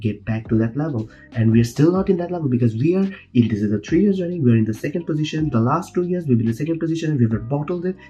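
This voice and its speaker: A man with a Bangladeshi accent talks at a very fast pace with lively intonation. His tone is dark, mellow and somewhat breathy. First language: Bengali. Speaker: football fan vlogger. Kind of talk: casual monologue. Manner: stuttering; animated. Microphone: poor audio quality.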